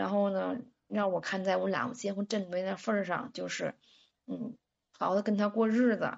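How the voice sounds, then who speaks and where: Here a woman of medium pitch speaks at a moderate pace. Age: 30s. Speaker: caller, stay-at-home mother. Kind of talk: phoned-in personal confession.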